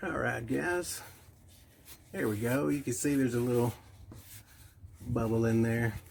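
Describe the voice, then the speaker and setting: Moderate pace and ordinary pitch variation from a somewhat breathy man, pitched in a medium range. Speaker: mobile welder. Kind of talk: tutorial. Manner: soft-spoken.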